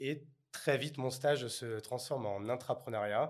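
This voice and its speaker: A man's medium-pitched voice, a plain, everyday voice. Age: 30s. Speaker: entrepreneur. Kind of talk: interview.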